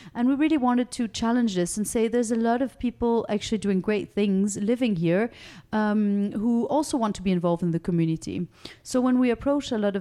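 With a dark, mellow tone and a fairly high pitch, a woman speaks at a fairly quick pace with ordinary pitch variation on a very clean recording with a silent background. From raised in France, Monaco and Switzerland, Danish. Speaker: non-profit director. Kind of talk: interview. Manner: hesitant, many fillers.

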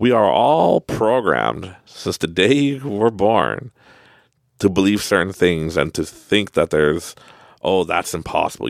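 With a Canadian accent, a man speaks at a moderate pace in a very deep, low voice with vocal fry, an animated tone and lively intonation, in a dry, close sound with no echo and a very clean recording over a silent background. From Canada. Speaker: podcast host. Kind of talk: motivational monologue. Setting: studio. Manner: animated, laughing often.

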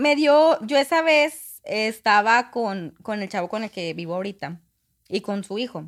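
A woman speaks fairly slowly in a fairly high voice, her pitch swinging very widely. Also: very clean recording, silent background. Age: 20s. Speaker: guest telling personal story. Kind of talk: casual storytelling.

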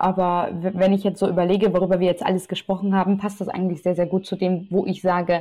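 A woman with a medium pitch and a dark, mellow tone speaks at a fairly quick pace. The recording is very clean, with a silent background. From Austria, Vienna. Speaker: journalist. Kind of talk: interview.

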